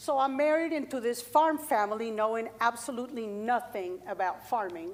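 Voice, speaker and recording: A woman's fairly high voice with a Colombian accent and ordinary pitch variation. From Colombia, Bogota. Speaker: farmer. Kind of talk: workshop talk.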